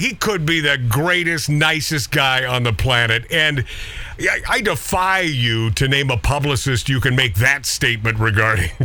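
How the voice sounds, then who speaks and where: Over noticeable background noise, a man with medium pitch speaks at a moderate pace in an animated tone with very even loudness. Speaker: radio host. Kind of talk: casual banter interview. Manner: joking, animated.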